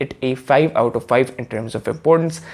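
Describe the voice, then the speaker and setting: This man has an unremarkable speaking voice and ordinary pitch variation. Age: young. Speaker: student content creator. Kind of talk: casual explainer vlog.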